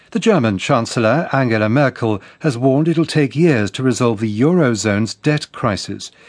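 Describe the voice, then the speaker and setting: A man with a British accent speaks at medium pitch and a moderate pace, his intonation lively, against a quiet background. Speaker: news presenter. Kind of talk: crisp international radio news bulletin reading. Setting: studio. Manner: measured, neutral and authoritative newsreader delivery; formal, clipped headline phrasing with brisk hand-offs to reporters.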